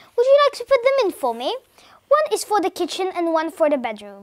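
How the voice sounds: Putting on a character voice, a woman talks at a fairly quick pace with an extremely high pitch and very wide pitch swings.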